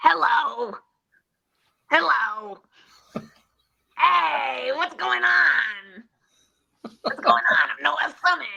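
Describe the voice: The speaker uses a put-on character voice. The pace is very slow, with long, frequent pauses.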